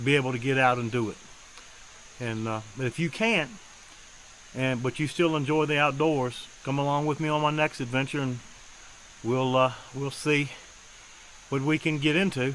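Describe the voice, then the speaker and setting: Noticeable background noise sits behind a man talking at a moderate pace. His intonation stays fairly even. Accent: American. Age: 60s. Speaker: outdoor vlogger, fisherman. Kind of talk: casual vlog narration. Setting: outdoors, mountain stream; outdoors, by his truck. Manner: casual, halting with fillers.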